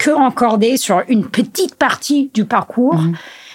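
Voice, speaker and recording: Speaking at a very slow pace, a woman with an English accent uses lively intonation. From US Northeast (Vermont). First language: English (speaking French). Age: 30s. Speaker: trail and skyrunning athlete. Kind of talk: casual interview. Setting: at her home. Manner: halting, many hesitations.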